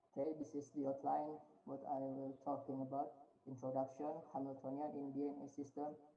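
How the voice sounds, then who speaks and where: A man with a fairly high voice speaks at a fairly quick pace in a flat monotone. Audible room echo surrounds his voice. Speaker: researcher presenting at conference. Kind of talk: conference presentation. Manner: halting.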